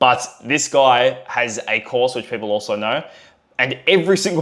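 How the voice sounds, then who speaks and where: Energetic in tone, a man talks at a moderate pace with an Australian accent. His pitch is medium with ordinary variation. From Australia, Melbourne. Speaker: online business coach, agency co-founder. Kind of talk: talking-head tutorial video. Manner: casual, energetic.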